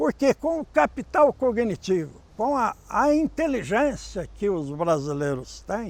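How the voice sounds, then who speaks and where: The pace of this man's speech is very slow. His pitch swings very widely. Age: 60s. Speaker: psychology professor. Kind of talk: interview.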